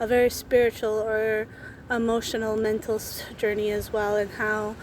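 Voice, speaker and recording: A woman speaks with an American accent at a fairly high pitch. Her pace is fairly slow and her intonation monotone and flat. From Minnesota. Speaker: book vlogger. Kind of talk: casual faith reflection. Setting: outdoors under a tree. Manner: halting, self-correcting.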